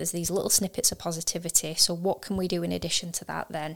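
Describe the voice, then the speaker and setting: Speaking at a very fast pace, a woman with vocal fry keeps a monotone, flat intonation at a fairly low pitch. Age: 40s. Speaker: podcast co-host, business owner. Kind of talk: casual chat.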